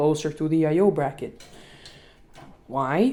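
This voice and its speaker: A woman with a non-native accent speaks in a very deep, low voice with a dark, mellow tone and ordinary pitch variation. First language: not English. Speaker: tech tutorial youtuber. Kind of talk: tutorial. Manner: halting.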